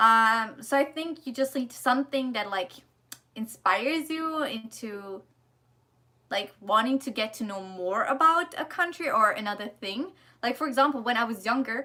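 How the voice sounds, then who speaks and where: Speaking with a German accent, a woman uses lively intonation at a fairly high pitch and a moderate pace. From Germany. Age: 20s. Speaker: vlogger, student in Korea. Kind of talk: casual livestream chat and Q&A. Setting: livestream. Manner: casual, hesitant with fillers.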